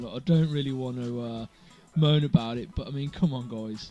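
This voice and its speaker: A fairly quick male voice of medium pitch with ordinary pitch variation, music in the background. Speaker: gamer. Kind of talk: casual gameplay commentary. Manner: low energy, unenthusiastic.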